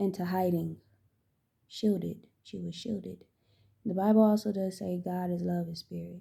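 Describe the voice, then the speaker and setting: Soft-spoken, a woman talks at a moderate pace with long, frequent pauses. Her loudness swings widely. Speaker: spiritual channeler and tarot reader. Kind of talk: spiritual channeling monologue. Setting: at home. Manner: halting.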